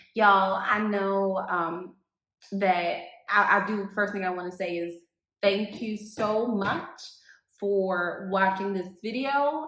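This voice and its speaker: Recorded with audible room echo, a woman at medium pitch speaks at a very slow pace. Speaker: real estate agent. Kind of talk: casual vlog. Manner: halting.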